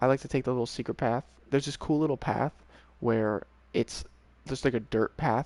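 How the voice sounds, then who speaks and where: A man's fairly quick mumbling with fairly even intonation, dry and close with no echo, over a quiet background. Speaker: video game streamer. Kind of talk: casual chat. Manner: fast.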